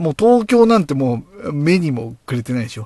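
Here is a man with a somewhat breathy voice and lively intonation. He keeps a moderate pace against a quiet background. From Japan, Tochigi (Oyama). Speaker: beer podcast host. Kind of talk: casual solo talk. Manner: hesitant, many fillers.

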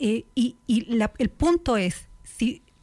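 A woman talks in a high-pitched voice. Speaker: political commentator. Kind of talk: debate.

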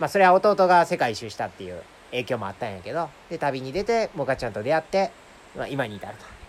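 Speaking in a Kansai accent, a man goes at a very fast pace. Both his pitch and loudness swing widely. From Japan, Nara Prefecture (rural). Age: 30s. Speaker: podcaster living in a van, video editor. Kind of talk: casual chat. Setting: outdoors in a forest.

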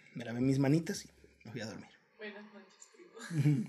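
At a fairly quick pace, a man talks in a plain, everyday voice pitched fairly high. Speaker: podcast co-host. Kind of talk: casual chat.

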